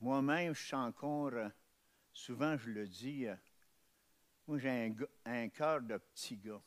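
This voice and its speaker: Very slowly and with long, frequent pauses, a man speaks at a medium pitch with ordinary pitch variation on a very clean recording with a silent background. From Montreal, Quebec (Ville-Émard near Saint-Henri). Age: 70s. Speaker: testimony speaker. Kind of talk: testimony. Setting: testimony breakfast event. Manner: halting, many hesitations.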